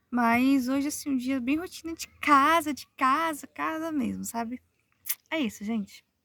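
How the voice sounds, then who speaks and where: Speaking fairly slowly, a woman uses a high pitch with ordinary variation. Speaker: vlogger, mother and writer. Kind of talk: casual vlog talk to camera. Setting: in a car. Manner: soft-spoken.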